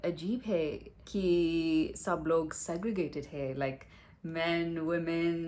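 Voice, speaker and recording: This woman's voice sits fairly low in pitch. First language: English (speaking Hindi). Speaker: vlogger, Hindi learner. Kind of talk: casual chat vlog. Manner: halting, many fillers.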